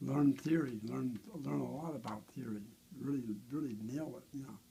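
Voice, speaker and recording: The voice is somewhat breathy with a dark, mellow tone and ordinary pitch variation. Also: man, medium pitch for a man. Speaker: bass guitar builder. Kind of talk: casual chat. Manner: fast.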